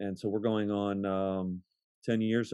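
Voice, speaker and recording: With an American accent, a man talks at a fairly low pitch. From Ohio, US Midwest. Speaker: pastor. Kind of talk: casual interview.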